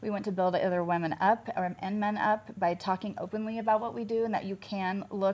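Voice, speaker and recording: A woman with an American accent and an unremarkable speaking voice talks at a fairly quick pace, with a medium pitch and fairly even intonation. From US Midwest, Kansas City. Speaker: med spa owner. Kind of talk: interview chat.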